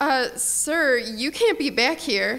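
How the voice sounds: Putting on a squeaky, high-pitched character voice, a woman speaks in a nervous tone.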